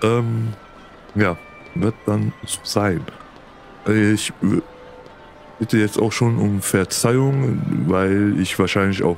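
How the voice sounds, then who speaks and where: With music in the background, a man speaks at a very slow pace with a fairly low pitch and ordinary pitch variation. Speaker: let's play commentator. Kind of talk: gameplay commentary. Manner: casual, hesitant with fillers.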